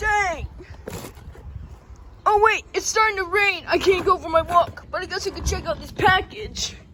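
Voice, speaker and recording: An extremely high-pitched cartoonish character voice at a moderate pace, with long, frequent pauses. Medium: puppet show. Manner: excitable, exclamatory.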